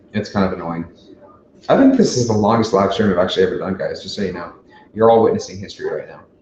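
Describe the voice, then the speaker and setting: With an American accent, a man talks at a very fast pace, his loudness swinging widely. Audible room echo and noticeable background noise are present. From Chicago, US Midwest. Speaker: YouTuber, livestream host. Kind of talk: live Q&A stream, casual chat. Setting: livestream. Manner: casual, swearing, with fillers.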